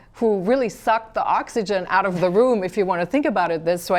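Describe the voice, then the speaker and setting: With lively intonation and a medium pitch, a woman speaks at a very fast pace over noticeable background noise. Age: 40s. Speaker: TV talk show host. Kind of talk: interview.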